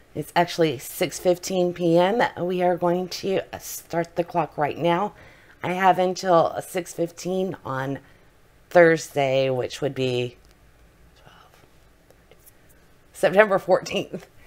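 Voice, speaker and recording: A woman speaks very slowly, with long, frequent pauses and big swings in loudness. Her voice is fairly low, with ordinary pitch variation. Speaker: book vlogger. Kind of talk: casual vlog. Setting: at home. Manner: quiet, keeping voice down.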